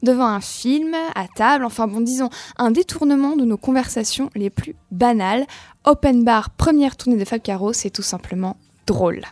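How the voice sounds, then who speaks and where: Music plays in the background as a woman speaks with a high pitch. She keeps a moderate pace and ordinary pitch variation. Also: dry, close sound with no echo. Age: 20s. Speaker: literary columnist. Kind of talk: radio book review.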